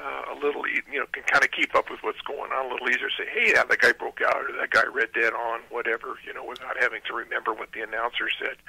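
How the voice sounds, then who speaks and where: A man talks at a very fast pace. The sound is dry and close with no echo, though noticeable background noise comes through. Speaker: drag strip manager. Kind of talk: phone interview. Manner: halting.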